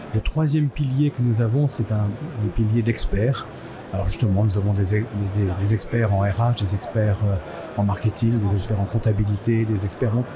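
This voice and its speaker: A man's fairly low voice at a moderate pace with ordinary pitch variation, music in the background. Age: 60s. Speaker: business owner and association volunteer. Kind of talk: interview. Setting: trade fair stand. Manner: hesitant, many filler sounds.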